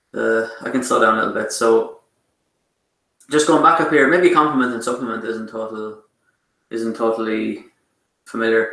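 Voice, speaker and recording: The speaker is a man with an Irish accent. His medium-pitched voice keeps a fairly even intonation. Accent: Irish, th sounds pronounced as t. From Ireland. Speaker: math lecturer. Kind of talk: online lecture. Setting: online class with chat. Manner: fast; hesitant with many fillers.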